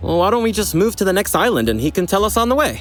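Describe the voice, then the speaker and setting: Putting on a whiny character voice, a man speaks very fast in a high pitch with very wide pitch swings and very even loudness, over clear background noise. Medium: audio drama. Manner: whiny, eager.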